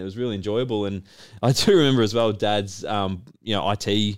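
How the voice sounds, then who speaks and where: An Australian accent with ordinary pitch variation, on a very clean recording with a silent background. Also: man. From Australia, Melbourne. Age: 30s. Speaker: business owner and podcast host. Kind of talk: casual chat.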